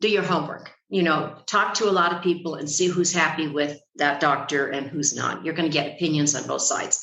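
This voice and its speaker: Audible room echo surrounds the voice. The pace is fairly quick, with ordinary pitch variation. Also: woman, very deep, low pitch for a woman, hardly any pauses. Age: 70s. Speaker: retired expat. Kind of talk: podcast interview.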